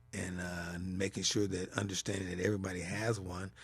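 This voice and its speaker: Somewhat breathy man with an American accent, fairly quick pace, quiet background. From US West Coast (Los Angeles). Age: 60s. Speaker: podcast host. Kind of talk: solo podcast monologue. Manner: hesitant, many fillers.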